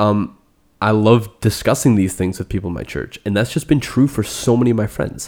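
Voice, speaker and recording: An animated man at a fairly quick pace with ordinary pitch variation. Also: fairly low pitch for a man. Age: 20s. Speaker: podcast host. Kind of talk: casual chat.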